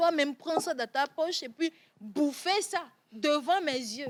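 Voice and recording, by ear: A woman speaks at a high pitch. Her pace is fairly slow. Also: lively intonation.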